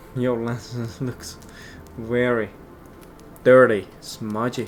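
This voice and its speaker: The speaker has a non-native accent and a monotone, flat intonation. Music plays in the background. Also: man. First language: not English. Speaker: gaming youtuber. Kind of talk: gameplay commentary. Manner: casual, halting.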